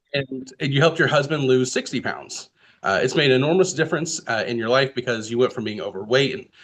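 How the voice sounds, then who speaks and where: Here is a man with an ordinary speaking voice at a medium pitch. He moves at a fairly quick pace with lively intonation. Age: 30s. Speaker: podcast host. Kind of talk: casual interview.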